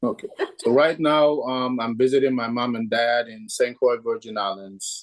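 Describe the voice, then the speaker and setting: In a plain, everyday voice, a man talks at a moderate pace with fairly even intonation and big swings in loudness. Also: medium pitch for a man. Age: 60s. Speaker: real estate agent and martial arts instructor. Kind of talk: interview.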